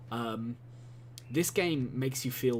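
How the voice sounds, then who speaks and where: A man at a medium pitch, somewhat breathy, with fairly even intonation at a moderate pace amid audible room echo. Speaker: gaming video commentator. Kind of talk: gameplay commentary monologue. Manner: halting, many fillers and repetitions.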